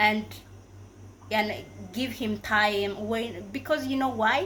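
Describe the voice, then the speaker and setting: The voice carries vocal fry and fairly even intonation. Its pace is very slow. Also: woman, fairly high pitch for a woman. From Africa. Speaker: YouTuber. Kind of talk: casual advice vlog. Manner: halting, many fillers and self-corrections.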